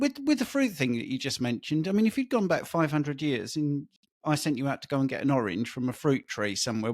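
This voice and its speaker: Recorded very cleanly against a silent background, a man with an English accent and a fairly high pitch talks at a very fast pace. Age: 60s. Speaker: diet coach. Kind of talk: interview.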